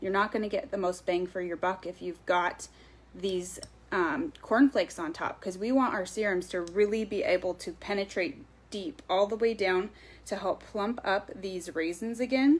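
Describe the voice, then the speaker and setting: With an ordinary speaking voice, a woman talks at a moderate pace, her medium pitch moving in lively intonation. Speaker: skincare sales consultant. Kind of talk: live stream sales presentation. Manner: casual with many fillers.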